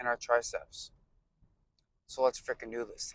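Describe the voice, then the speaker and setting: At a moderate pace, a man mumbles. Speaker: fitness vlogger. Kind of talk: casual vlog chat. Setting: in a car, then gym. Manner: mumbling; casual, joking.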